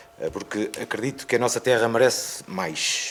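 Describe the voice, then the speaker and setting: A man speaks at a moderate pace and a medium pitch, with noticeable background noise behind him. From Ovar, northern Portugal. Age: 40s. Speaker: local election candidate, businessman. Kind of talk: political debate statement. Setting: museum hall, live radio broadcast.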